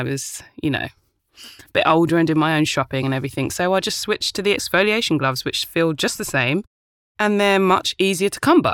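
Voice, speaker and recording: A woman's fairly low voice with a British accent, lively intonation and a fairly quick pace, in a very clean recording with a silent background and a dry, close sound with no echo. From UK, Ghanaian family. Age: 30s. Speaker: podcast host and actor. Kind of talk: casual monologue. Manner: animated.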